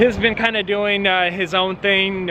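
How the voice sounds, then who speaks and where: Noticeable background noise sits under the recording. A man talks over it at a moderate pace. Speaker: car dealer and vlogger. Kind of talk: vlog narration. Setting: in a car and on a car lot.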